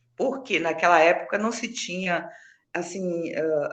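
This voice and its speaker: Audible room echo surrounds a woman whose tone is bright and sharp. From Brazil, southern Bahia (Recôncavo region). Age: 60s. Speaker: nutrition technician. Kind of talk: interview chat.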